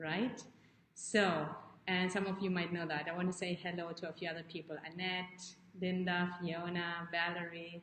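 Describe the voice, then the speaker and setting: Noticeable background noise sits behind a woman with a fairly low pitch. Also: moderate pace. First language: not English. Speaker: life coach. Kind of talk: live stream talk to viewers. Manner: animated; halting.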